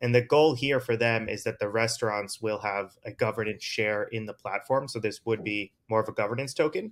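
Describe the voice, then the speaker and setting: Using a normal speaking voice with an American accent, a man talks at a fairly quick pace with ordinary pitch variation and hardly any pauses. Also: medium pitch for a man. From US East Coast. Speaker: crypto investor. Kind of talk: casual chat.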